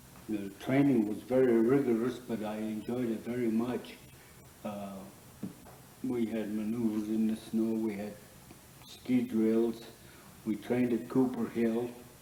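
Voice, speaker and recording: Spoken in a flat monotone with an American accent at a fairly slow pace, the voice stops for long, frequent pauses over noticeable background noise. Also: man, medium pitch for a man. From Leadville, Colorado. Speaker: war veteran; bar owner. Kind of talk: interview answer.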